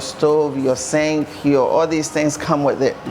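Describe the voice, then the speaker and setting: Noticeable background noise runs beneath a woman whose voice sits very deep and low. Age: 60s. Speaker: home builder. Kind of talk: guided tour interview.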